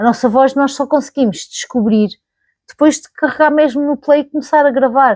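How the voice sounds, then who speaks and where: Her voice high in pitch, a woman talks at a moderate pace with ordinary pitch variation and big swings in loudness, the sound dry and close with no echo. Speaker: YouTuber. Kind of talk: casual vlog monologue. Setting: recording to camera. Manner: conversational, with fillers and self-corrections.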